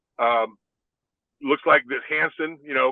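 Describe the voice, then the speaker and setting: A man is speaking. He talks with a Texan accent. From Texas, San Antonio. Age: 60s. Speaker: former NFL player. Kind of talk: podcast interview. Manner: halting.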